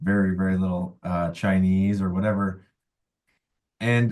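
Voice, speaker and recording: A man is speaking. His pitch is very deep and low. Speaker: musician. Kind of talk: casual chat. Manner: halting.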